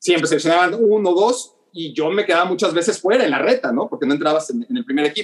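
A man with a Mexican accent talks at a very fast pace with hardly any pauses. His voice is high-pitched with lively intonation. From Mexico City. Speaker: sports journalist. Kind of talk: interview. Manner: halting, repeats words.

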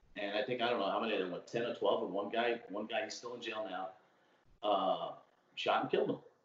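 A man talks at a very fast pace with an American accent. Noticeable background noise sits behind him. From Brooklyn, New York. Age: 40s. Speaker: city worker and podcaster. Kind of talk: casual chat. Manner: talkative.

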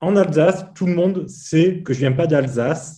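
A man's somewhat breathy voice, dark and mellow in tone, with ordinary pitch variation and audible room echo. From Provence, southern France. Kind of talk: casual chat.

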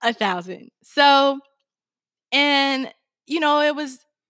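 Loud and animated, a woman speaks in a bright, sharp tone with a dry, close sound and no echo. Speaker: podcast co-host. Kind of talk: casual chat. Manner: loud, excitable.

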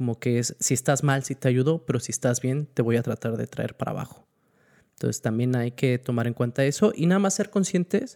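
A quiet man's voice, medium in pitch with a dark, mellow tone, lively intonation and a fairly quick pace, dry and close with no echo on a very clean recording against a silent background. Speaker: podcast co-host. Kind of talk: casual chat. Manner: quiet, level voice.

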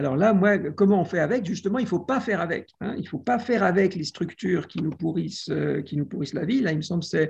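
Against a quiet background, a man talks at a very fast pace in a high voice with ordinary pitch variation. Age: 60s. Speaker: literature and media professor. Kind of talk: video call discussion.

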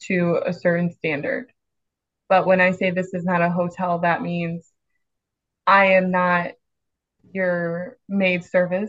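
Here is an ordinary speaking voice with an American accent. The pace is fairly slow. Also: woman. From Chicago. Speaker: ICU nurse. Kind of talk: casual interview chat.

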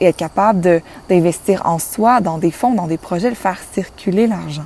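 A woman speaks at a moderate pace in an unremarkable speaking voice, her medium pitch showing ordinary variation. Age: 20s. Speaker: spiritual life coach, podcast host. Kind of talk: solo inspirational monologue.

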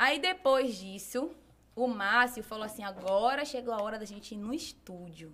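Delivery is at a moderate pace with ordinary pitch variation. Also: woman. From Brazil, Bahia (Salvador). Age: 20s. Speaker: fashion and lifestyle blogger, singer and model. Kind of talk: casual interview chat.

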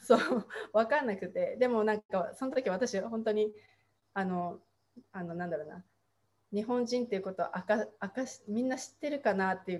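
Taking long, frequent pauses, a woman with a fairly high pitch speaks at a moderate pace, her loudness swinging widely and her pitch varying in an ordinary way. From Tochigi, Japan. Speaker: mindset coach and baker. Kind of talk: casual chat. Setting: livestream.

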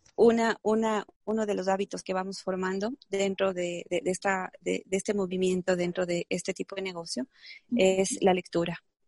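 The sound is dry and close, with no echo. A woman speaks at a medium pitch and a moderate pace. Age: 30s. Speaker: entrepreneur and network marketer. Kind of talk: interview. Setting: video call. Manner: animated.

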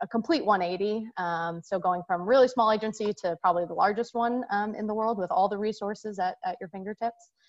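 In a plain, everyday voice, a woman with an American accent speaks at a fairly quick pace and medium pitch with fairly even intonation, the sound dry and close with no echo against a quiet background. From Singapore, raised overseas by American parents. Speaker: sports marketing executive. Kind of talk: interview.

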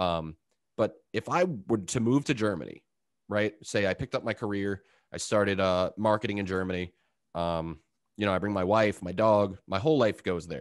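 A man has an ordinary speaking voice with a fairly low pitch, ordinary pitch variation and a moderate pace. The sound is dry and close with no echo, over a quiet background. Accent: American. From Long Island, New York. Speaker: podcast host. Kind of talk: interview conversation.

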